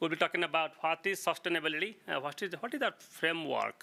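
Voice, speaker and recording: On a very clean recording with a silent background, a man with an Indian accent talks at a moderate pace in a high pitch, with a bright, sharp tone and ordinary pitch variation. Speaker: geologist. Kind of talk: lecture. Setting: meeting room with audience. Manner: halting, many fillers and restarts.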